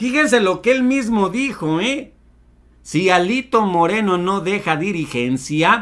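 With a Mexican accent, a man talks in a raised, projected voice that is high-pitched, bright and sharp, animated in tone and full of very wide pitch swings, against a quiet background. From Mexico. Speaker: political commentary YouTuber. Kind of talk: news commentary. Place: home room.

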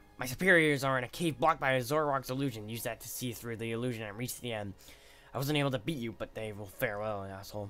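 The speaker reads aloud in a natural voice with ordinary pitch variation.

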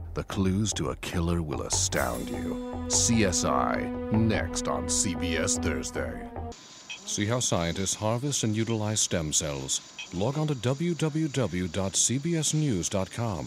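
With music in the background, a man with a very deep, low voice talks fairly slowly, with very wide pitch swings and hardly any pauses. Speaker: voice actor. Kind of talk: TV network promo read. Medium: voice reel.

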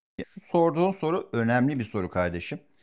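The recording is very clean, with a silent background. A man speaks at medium pitch with very wide pitch swings. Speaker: dating coach. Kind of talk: casual chat. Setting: at home. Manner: loud; confident.

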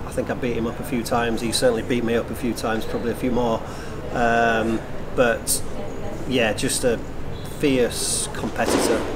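With loud background noise behind him, a man speaks at a moderate pace, leaving long, frequent pauses. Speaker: retired squash player, now commentator. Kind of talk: tribute interview. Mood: warm, reflective. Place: hall.

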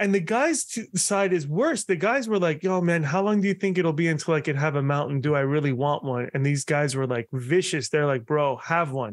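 The speaker keeps a moderate pace with lively intonation and hardly any pauses. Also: man, fairly high pitch for a man, quiet background. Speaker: podcaster and bariatric surgery patient; podcast guest. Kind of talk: casual interview chat. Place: home room.

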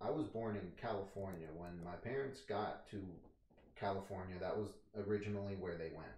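The room echo is audible as a man speaks at a moderate pace. His voice is fairly low and somewhat breathy. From Tennessee, Nashville; Tennessee. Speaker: interviewee. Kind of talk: casual chat. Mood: relaxed, casual. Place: home room.

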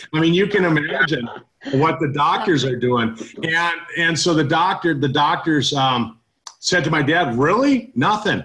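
Using an ordinary speaking voice, a man with a fairly high pitch talks at a moderate pace with lively intonation and very even loudness. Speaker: network marketing host. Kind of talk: online testimonial meeting. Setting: online call.

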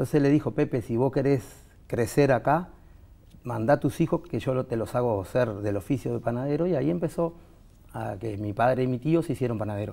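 Here a man speaks at a fairly quick pace. His tone is dark and mellow, with lively intonation. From Uruguay, Montevideo; Uruguay. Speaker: veterinary technician, baker and animal trainer; interview guest. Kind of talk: interview. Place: studio.

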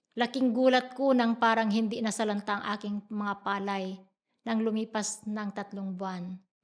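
Fairly slow and monotone, a woman speaks with flat intonation. Her pitch is fairly high. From Philippines, Iba, Zambales. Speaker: farmer and church treasurer. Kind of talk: testimony.

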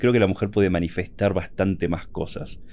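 Very deep and low in pitch, a man's voice shows ordinary pitch variation. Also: very clean recording, silent background. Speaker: gaming and lore content creator. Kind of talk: personal monologue podcast. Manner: effortful, stuttering when excited.

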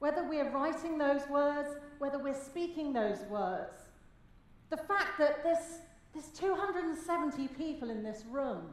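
A woman's high-pitched voice at a fairly slow pace, with audible room echo. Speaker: speaker. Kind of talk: keynote speech. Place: hall. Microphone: headset.

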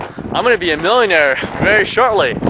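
With lively intonation and a moderate pace, a man speaks in a dry sound with no echo over noticeable background noise. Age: 20s. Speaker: entrepreneur vlogger. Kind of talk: personal story vlog. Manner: hesitant, many fillers. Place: open country. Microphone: phone near.

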